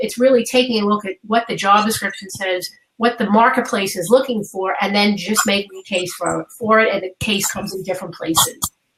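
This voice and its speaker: A woman speaks with a New York accent at medium pitch. Her intonation is fairly even. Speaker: career coach. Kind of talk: webinar interview. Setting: live webinar.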